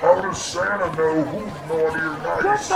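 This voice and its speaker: A man's put-on character voice, fairly high in pitch, over loud background noise. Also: moderate pace. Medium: read story. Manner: eager, starstruck.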